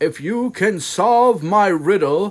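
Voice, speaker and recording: A man puts on a character voice with a high pitch. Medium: read story. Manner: gruff, scornful.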